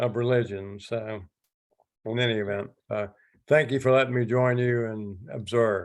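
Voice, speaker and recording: A man with a Southern US accent, medium pitch, monotone, flat intonation and a fairly slow pace. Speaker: church member. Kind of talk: casual remarks. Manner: halting.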